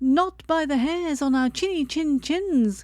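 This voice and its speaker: A woman's put-on character voice, high-pitched, raised and projected, at a fairly slow pace. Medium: read story. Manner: frightened.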